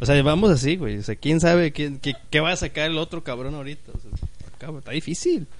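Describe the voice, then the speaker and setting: A man with a Mexican accent, fairly high pitch and moderate pace. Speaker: podcast host. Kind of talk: casual chat. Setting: live-streamed podcast recording. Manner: animated.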